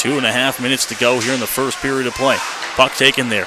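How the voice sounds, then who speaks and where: Over music in the background, a man talks at a very fast pace with an energetic tone and a medium pitch. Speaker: radio hockey play-by-play announcer. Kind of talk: live radio sports play-by-play commentary. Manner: fast, energetic.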